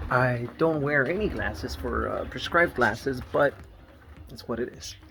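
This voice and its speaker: Noticeable background noise behind a man's fairly slow pace. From Nicaragua, raised in the US. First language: Spanish. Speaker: family vlogger. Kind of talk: casual vlog. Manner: halting, many fillers.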